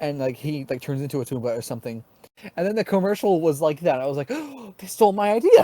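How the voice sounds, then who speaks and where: A man's dark, mellow voice, fairly high in pitch, at a very fast pace with ordinary pitch variation. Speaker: podcast co-host. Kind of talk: casual chat. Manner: halting.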